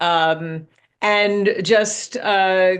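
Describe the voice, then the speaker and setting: With a New York accent, a woman speaks at medium pitch and with fairly even intonation against a quiet background. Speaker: business author and executive. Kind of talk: podcast interview. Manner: halting.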